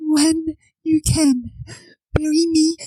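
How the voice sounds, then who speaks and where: A female-sounding, put-on character voice pitched high for a woman. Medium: audio drama. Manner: soft, weak, sorrowful.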